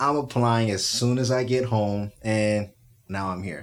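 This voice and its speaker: With an unremarkable speaking voice, a man talks at a moderate pace and fairly low pitch. His intonation stays fairly even. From Texas (Spring, near Houston). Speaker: teacher and musician. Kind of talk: casual chat. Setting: studio.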